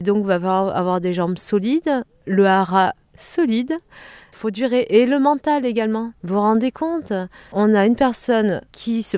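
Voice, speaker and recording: A woman with a Provençal accent speaks fairly slowly, her fairly high voice dark and mellow in tone, with lively intonation, big swings in loudness, and a dry, close sound with no echo. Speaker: shiatsu practitioner, karate and yoga teacher. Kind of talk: interview. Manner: animated, conversational.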